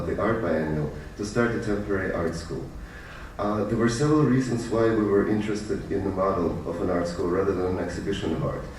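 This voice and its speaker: With audible room echo and noticeable background noise, a man speaks fairly quickly in a fairly low voice with ordinary pitch variation. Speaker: artist. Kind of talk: lecture. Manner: fast.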